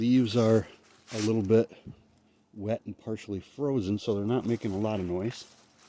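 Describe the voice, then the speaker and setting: Through noticeable background noise, a man with a fairly low pitch and fairly even intonation speaks with long, frequent pauses. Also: moderate pace. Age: 60s. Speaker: outdoor paranormal vlogger. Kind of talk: casual vlog monologue. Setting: outdoors at night in woods. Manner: breathy, audible breathing.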